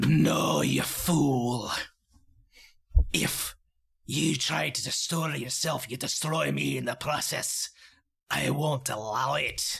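In a put-on character voice, a man hisses with a raspy, menacing tone at a very slow pace. He leaves long, frequent pauses. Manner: hissing, menacing.

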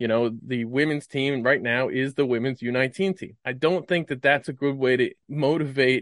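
A man with a Mid-Atlantic accent talks at a fairly quick pace and medium pitch with ordinary pitch variation, the sound dry and close with no echo over a quiet background. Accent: American, Mid-Atlantic. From US, Maryland. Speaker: cricket correspondent. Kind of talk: casual chat.

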